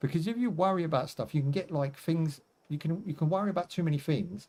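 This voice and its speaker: A man talks at a fairly quick pace, his voice somewhat breathy with a dark, mellow tone. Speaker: gaming livestreamer. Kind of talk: casual livestream chat. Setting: live stream. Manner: relaxed, conversational.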